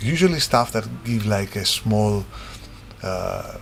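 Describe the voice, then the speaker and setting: Noticeable background noise and audible room echo around a man's voice. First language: not English. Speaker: game designer. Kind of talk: tutorial. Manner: halting; casual.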